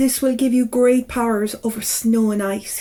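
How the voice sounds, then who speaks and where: A woman uses a put-on character voice at fairly high pitch, with monotone, flat intonation. She keeps a moderate pace over light background noise. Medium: read story. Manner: cold, haughty.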